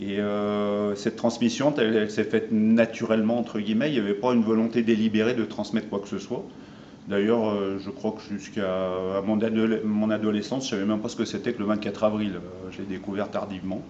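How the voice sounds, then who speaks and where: Fairly low in pitch, a man speaks at a fairly quick pace. His intonation is flat and monotone. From France. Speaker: interviewee, son of Armenian immigrants. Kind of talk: interview. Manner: halting.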